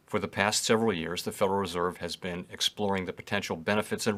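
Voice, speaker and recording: A man with an American accent in a normal speaking voice, fairly low pitch and fairly even intonation, on a very clean recording with a silent background. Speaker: central bank chair giving congressional testimony. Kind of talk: formal prepared testimony.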